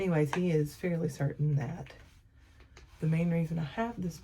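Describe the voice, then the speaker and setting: Very deep and low in pitch, a woman speaks in a dark, mellow tone that is somewhat breathy, with ordinary pitch variation. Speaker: family vlogger. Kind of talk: casual vlog talk. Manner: soft-spoken; rambling with many fillers.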